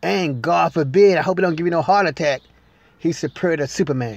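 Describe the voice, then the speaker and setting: A man with lively intonation in a dry, close sound with no echo. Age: 40s. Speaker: movie reviewer. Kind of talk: solo video review.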